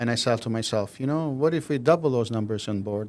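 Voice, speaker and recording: A man speaks at a very fast pace with an Albanian accent, his pitch medium and his intonation lively. The recording is very clean, with a silent background. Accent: Albanian (Southern European). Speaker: mortgage loan officer. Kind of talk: podcast interview.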